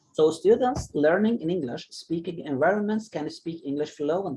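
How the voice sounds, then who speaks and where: Speaking at a moderate pace with an Arabic accent, a man uses a high-pitched voice that is dark and mellow in tone. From Egypt. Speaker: English teacher. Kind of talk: online class discussion. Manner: halting.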